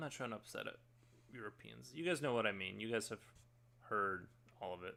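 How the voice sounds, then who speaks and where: Very wide pitch swings in a bright, sharp tone from a man. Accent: American. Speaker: streamer and artist. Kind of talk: casual chat.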